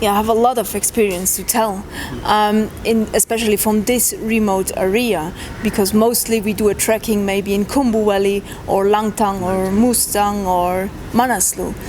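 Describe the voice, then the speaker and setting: Noticeable background noise sits behind a woman's medium-pitched voice. She talks at a moderate pace with monotone, flat intonation. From Switzerland. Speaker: trekker. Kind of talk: interview. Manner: halting.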